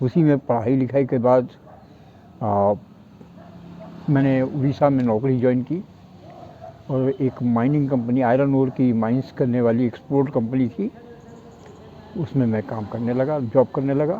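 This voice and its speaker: Against noticeable background noise, a man of medium pitch speaks with ordinary pitch variation and long, frequent pauses. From North India. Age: 60s. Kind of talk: interview answer.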